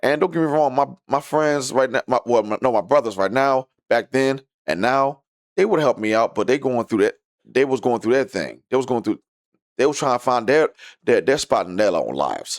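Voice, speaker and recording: A man at medium pitch with vocal fry and lively intonation, at a fairly quick pace, in a very clean recording with a silent background and a dry, close sound with no echo. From US Midwest, Detroit, Michigan. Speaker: mental health vlogger. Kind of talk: personal testimony. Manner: fast when excited or anxious; halting.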